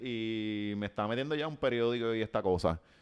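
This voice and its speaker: Against a quiet background, a man speaks with a Puerto Rican accent. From Puerto Rico. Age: 30s. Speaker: writer and social media personality; podcast guest. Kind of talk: casual interview chat. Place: home room. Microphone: studio mic.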